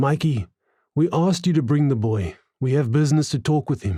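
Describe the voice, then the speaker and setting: Doing a put-on character voice, a man speaks fairly quickly in a gruff, fairly high pitch with lively intonation, on a very clean recording with a silent background. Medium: read story.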